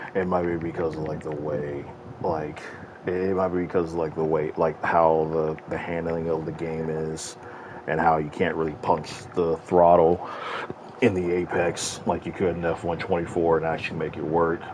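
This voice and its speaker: This man's voice is very deep and low, with monotone, flat intonation. Noticeable background noise sits behind him. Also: moderate pace. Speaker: gaming streamer. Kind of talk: live gameplay commentary. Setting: live stream.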